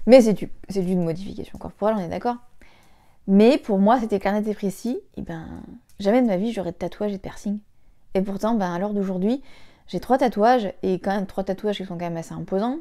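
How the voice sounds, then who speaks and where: With long, frequent pauses, a woman speaks at a fairly quick pace in a dark, mellow tone, her pitch medium with ordinary variation, on a very clean recording with a silent background. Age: 20s. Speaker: vlogger, stay-at-home mother. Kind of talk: casual vlog monologue. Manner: fast; hesitant, many fillers.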